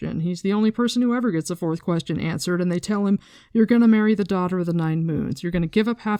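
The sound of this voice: With ordinary pitch variation, the passage comes across in an unforced reading voice.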